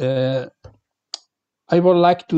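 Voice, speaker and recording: Speaking at a very slow pace, a man delivers his words in a dark, mellow tone. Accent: non-native. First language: Spanish. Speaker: professor, keynote speaker. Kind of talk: lecture. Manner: halting.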